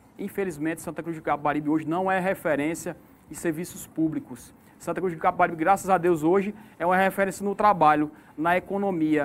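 Here a man talks with a high pitch and fairly even intonation. His pace is fairly quick. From Sertão da Paraíba, northeast Brazil. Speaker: mayoral candidate. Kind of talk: political debate. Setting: radio/online studio.

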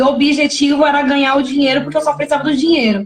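The speaker is a woman. Her voice sounds dry and close, with no echo. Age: 20s. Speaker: singer. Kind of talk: casual chat.

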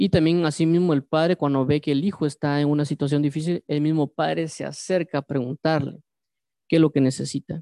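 The background stays quiet. Speech comes at a fairly quick pace. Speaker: Bible teacher. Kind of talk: sermon. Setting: livestream. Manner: halting.

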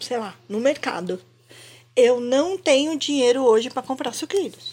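A woman speaks in a high-pitched voice. Her pace is fairly slow. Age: 50s. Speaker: podcast co-host. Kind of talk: casual chat.

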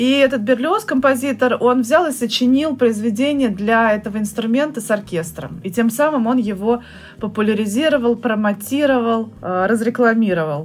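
At a moderate pace, a woman uses an unremarkable speaking voice, fairly high in pitch with ordinary variation. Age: 30s. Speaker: saxophonist and music teacher. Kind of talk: casual chat.

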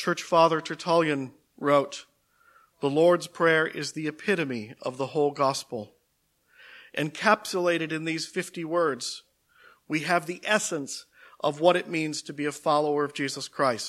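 This is a man with a normal speaking voice, fairly high in pitch, with ordinary pitch variation and a fairly slow pace. The recording is very clean, with a silent background. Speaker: preacher. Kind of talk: sermon ending in a prayer. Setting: church. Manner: fervent, earnest prayer tone; formal, measured.

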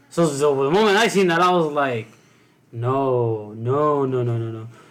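A man talks at a fairly slow pace with a fairly high pitch. Noticeable background noise runs underneath. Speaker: co-host. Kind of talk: casual banter.

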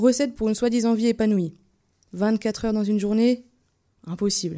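A woman's fairly high, dark, mellow voice at a fairly quick pace, with ordinary pitch variation, on a very clean recording with a silent background. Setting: radio studio.

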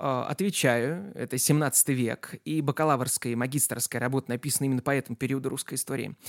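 A man talks at a fairly quick pace with a fairly high pitch, in a very clean recording with a silent background and a dry, close sound with no echo. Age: 20s. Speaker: history podcaster and tutor. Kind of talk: scripted narration. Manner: clear diction.

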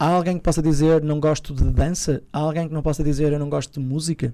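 Dark and mellow in tone, this voice goes along at a fairly quick pace. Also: man. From northern Portugal, Peso da Régua (Douro). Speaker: magician. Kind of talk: interview. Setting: studio with small audience. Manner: halting, with frequent repetitions.

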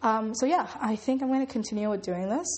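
Somewhat breathy speech from a woman at a fairly high pitch. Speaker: first-time podcaster. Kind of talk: casual monologue. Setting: home recording in echoey room. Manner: halting.

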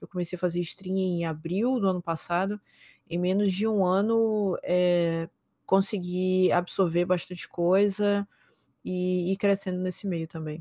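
Recorded with a dry, close sound and no echo, a woman speaks in a dark, mellow tone with monotone, flat intonation. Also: medium pitch for a woman, fairly slow pace, very clean recording, silent background. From São Luís, Maranhão, Brazil. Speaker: esports caster and streamer. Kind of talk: casual interview chat.

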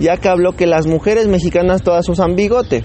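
Over noticeable background noise, a man with a high voice speaks in an upbeat tone. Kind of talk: radio DJ patter introducing songs between tracks. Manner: chatty, improvised and upbeat, rambling and self-correcting, with casual Mexican slang.

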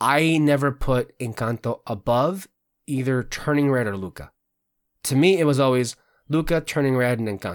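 A man with a Spanish accent, in a dry, close sound with no echo. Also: medium pitch for a man, ordinary pitch variation, moderate pace. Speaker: podcast host. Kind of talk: casual chat. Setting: video recording, online. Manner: frequent fillers and restarts.

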